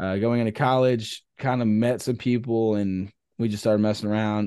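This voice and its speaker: Fairly quick speech from a man, dark and mellow in tone, with fairly even intonation. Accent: Texan. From Texas, near Austin. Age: 20s. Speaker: musician. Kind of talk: casual interview, faith testimony.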